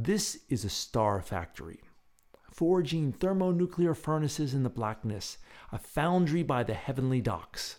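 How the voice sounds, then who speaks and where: A man with a fairly high pitch uses a theatrical, soothing tone and very wide pitch swings at a fairly slow pace. The recording is very clean, with a silent background. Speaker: radio host. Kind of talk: dramatic narration, poetic scripted astronomy tour read aloud. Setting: radio show, late-night broadcast. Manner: hushed, slow, theatrical, wonder-filled; soothing, measured, guided-breathing cadence.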